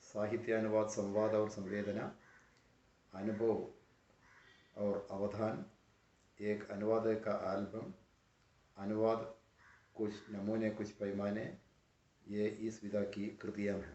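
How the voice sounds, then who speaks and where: A man's fairly low voice in a Malayalam accent, monotone and flat, with long, frequent pauses and audible room echo. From Kerala, India. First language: Malayalam (speaking Hindi). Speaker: professor. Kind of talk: lecture. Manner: formal.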